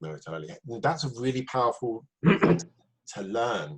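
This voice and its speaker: A man speaks at a moderate pace and medium pitch. His voice is somewhat breathy, with very wide pitch swings. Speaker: podcast host. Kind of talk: podcast interview question.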